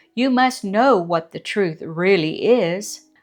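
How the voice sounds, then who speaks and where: A woman puts on a character voice at a medium pitch. She speaks at a fairly slow pace. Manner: stern.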